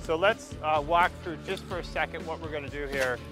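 A man talks at a moderate pace in a dry sound with no echo. Music plays clearly in the background. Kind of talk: casual vlog chat. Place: garden. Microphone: lapel.

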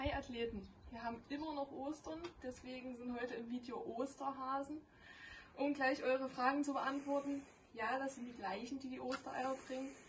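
Light background noise sits behind a woman with a high voice. She speaks at a moderate pace with fairly even intonation. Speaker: fitness instructor. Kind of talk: workout tutorial. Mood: playful, joking. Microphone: camera far.

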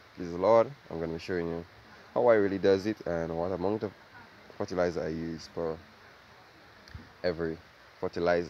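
Low-pitched and slightly mellow, a man talks at a fairly quick pace with fairly even intonation. Long pauses come often.

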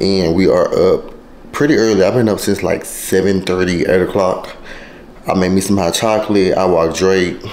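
Over light background noise, a man with a very deep, low pitch speaks with very even loudness and fairly even intonation. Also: moderate pace. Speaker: vlogger. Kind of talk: casual vlog chat. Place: kitchen. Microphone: phone near.

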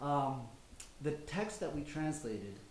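A man with a Spanish accent speaks amid light background noise and audible room echo. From United States. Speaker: novelist. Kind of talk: panel discussion. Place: hall. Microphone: podium.

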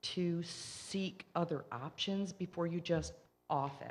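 A woman with a fairly low pitch speaks in a Michigan accent with fairly even intonation. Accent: non-Southern, Michigan. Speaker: resident speaking at public comment. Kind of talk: public comment at council meeting.

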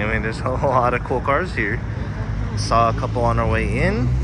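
A man talks at a moderate pace, the sound dry with no echo, while noticeable background noise persists. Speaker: vlogger filming the car meet. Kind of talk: casual vlog chat. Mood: excited, amused. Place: street. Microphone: phone near.

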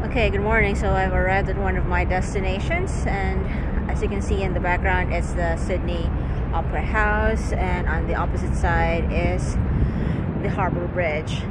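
Loud background noise surrounds a woman's voice. The sound itself is dry, with no echo. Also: moderate pace. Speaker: vlogger. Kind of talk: casual vlog chat. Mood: mildly annoyed rant. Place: waterside. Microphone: phone near.

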